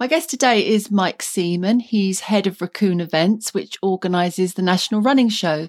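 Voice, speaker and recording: A woman's normal speaking voice, medium in pitch, with ordinary pitch variation at a moderate pace, in a dry, close sound with no echo and a very clean recording against a silent background. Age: 50s. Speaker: podcast host. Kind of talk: scripted narration.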